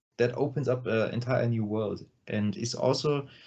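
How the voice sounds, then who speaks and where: Somewhat breathy and dark, mellow in tone, a man speaks at medium pitch with a non-native accent. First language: not English. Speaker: metal band vocalist. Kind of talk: interview. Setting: video call. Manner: halting, many fillers.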